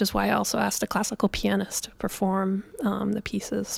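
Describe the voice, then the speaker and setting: A woman with a medium pitch talks at a fairly quick pace, her voice carrying vocal fry. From Calgary, Canada. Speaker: jazz pianist and composer. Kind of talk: interview.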